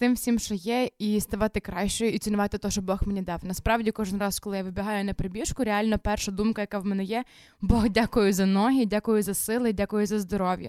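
On a very clean recording with a silent background and a dry, close sound with no echo, a woman with a medium pitch talks at a moderate pace in an ordinary speaking voice. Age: 20s. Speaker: youth ministry leader and runner. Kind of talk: casual interview.

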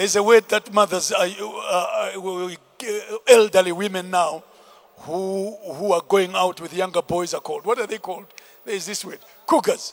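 At a moderate pace, a man speaks in an animated tone with big swings in loudness and long, frequent pauses, in a dry, close sound with no echo. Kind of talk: sermon; fiery preaching with call-and-response, prayer and blessing. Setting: church with congregation. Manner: animated, forceful and rhythmic, driving each point home with repetition; commanding and exhorting, urging the crowd to respond.

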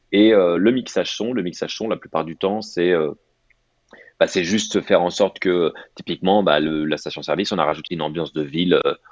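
A man speaks at a fairly quick pace. His very deep, low voice stays fairly even in intonation. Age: 30s. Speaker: ad director. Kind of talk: casual chat.

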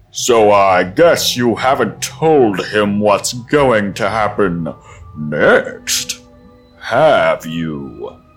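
A booming put-on character voice at a very slow pace, with faint music in the background. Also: man, fairly low pitch for a man. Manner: menacing, arrogant.

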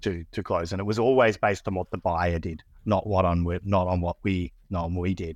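A man speaks at a fairly quick pace with a very deep, low pitch. The background is quiet. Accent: Australian. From Australia. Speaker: business executive. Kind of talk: casual interview chat. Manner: hesitant, filler-heavy.

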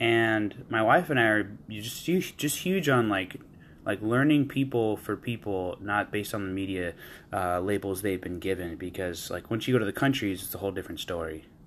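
In a very clean recording with a silent background, a man with an unremarkable speaking voice talks at a fairly low pitch, a moderate pace and ordinary pitch variation. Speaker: listener and fellow podcaster giving feedback. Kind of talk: casual feedback message.

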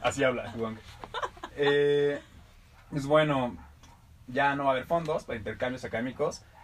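Over noticeable background noise, a man with a fairly high pitch and ordinary pitch variation talks at a moderate pace, leaving long, frequent pauses. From Mexico, Irapuato. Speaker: podcast co-host. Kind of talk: casual comedic chat. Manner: animated.

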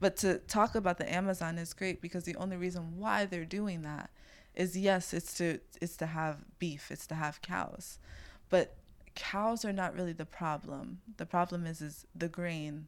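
In a very clean recording with a silent background, a woman with a New York accent speaks at a moderate pace, her fairly low pitch moving in fairly even intonation. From Brooklyn, New York City. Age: 20s. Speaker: farmer and food activist. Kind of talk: casual chat.

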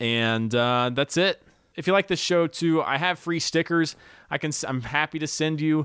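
A man with a plain, everyday voice at a fairly high pitch and moderate pace, ordinary pitch variation, dry and close with no echo, in a very clean recording with a silent background. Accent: American. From US South. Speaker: podcast host and comedian. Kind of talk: podcast intro; casual chat.

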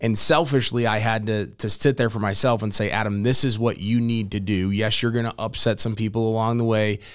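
A plain, everyday voice with an American accent, fairly quick and with hardly any pauses, its intonation fairly even. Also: man, medium pitch for a man. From US Midwest (St. Louis, Missouri). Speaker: digital marketing business owner. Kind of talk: casual interview.

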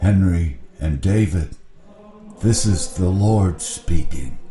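Booming in a put-on character voice, a man with a very deep, low pitch speaks at a very slow pace over clear background noise.

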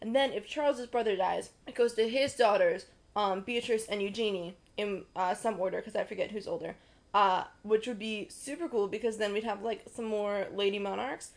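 An unremarkable speaking voice from a woman, fairly high in pitch, with ordinary pitch variation at a moderate pace. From US South. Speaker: podcast co-host. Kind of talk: casual chat.

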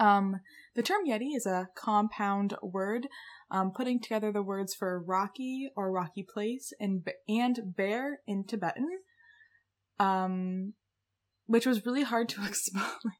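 A woman talks at a fairly slow pace and a medium pitch, with ordinary pitch variation and long, frequent pauses. The recording is very clean, with a silent background. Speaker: podcast co-host. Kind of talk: casual chat presenting research. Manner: casual, filler-heavy. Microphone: new desktop USB mic.

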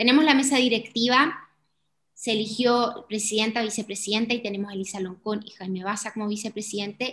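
A woman with a normal speaking voice talks at a fairly quick pace with fairly even intonation. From Chile, Iquique (Tarapacá region). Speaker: podcast co-host. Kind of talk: casual explanatory chat.

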